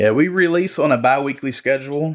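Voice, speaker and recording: A normal speaking voice from a man, fairly quick in pace, with ordinary pitch variation. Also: very clean recording, silent background. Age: 30s. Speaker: podcast co-creator and postal worker. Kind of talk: casual chat.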